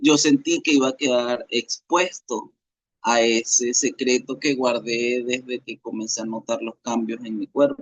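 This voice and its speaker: A man holds a medium pitch with fairly even intonation, speaking at a fairly slow pace. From Venezuela. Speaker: interviewee sharing life story. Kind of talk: interview testimony. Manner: halting, with many fillers.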